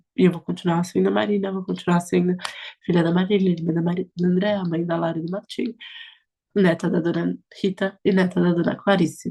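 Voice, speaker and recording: A woman's dark, mellow voice at a fairly low pitch and a fairly quick pace. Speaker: politician. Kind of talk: interview. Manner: animated.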